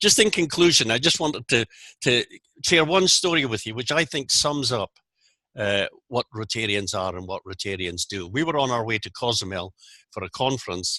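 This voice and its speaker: A man with a Scottish accent speaks at a moderate pace in a medium pitch, his tone bright and sharp and his pitch swinging very widely. The sound is dry and close with no echo, and the background is quiet. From Scotland, Aberdeen. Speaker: Rotary zone coordinator, speaker. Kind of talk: presentation. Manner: articulate.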